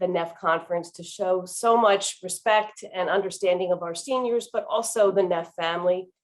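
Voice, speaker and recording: At a moderate pace, a woman with an American accent, a medium pitch and fairly even intonation talks in a plain, everyday voice. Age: 60s. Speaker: county commissioner. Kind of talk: welcome speech.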